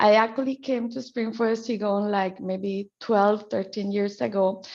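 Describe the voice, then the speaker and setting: A woman's medium-pitched voice in a Spanish accent, with fairly even intonation at a moderate pace. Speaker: qigong healer and trainer. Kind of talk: guided qigong practice class introduction.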